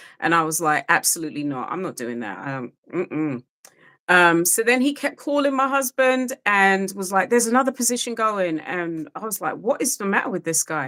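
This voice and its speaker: A woman with a British accent speaks in a bright, sharp tone. Her pitch swings very widely. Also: medium pitch for a woman, moderate pace. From UK. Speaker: re-entry program facilitator. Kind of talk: podcast interview.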